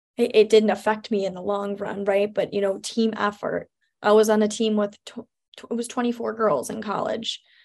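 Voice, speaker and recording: A woman's fairly high-pitched voice moves at a moderate pace. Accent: Chicago. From US Midwest, Chicago suburbs. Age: 20s. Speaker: radio host. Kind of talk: interview. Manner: upbeat.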